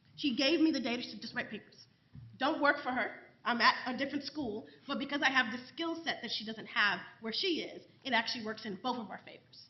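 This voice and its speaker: A woman's high voice in a New York accent, fairly quick, with ordinary pitch variation and big swings in loudness. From New York City. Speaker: professor. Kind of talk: panel discussion.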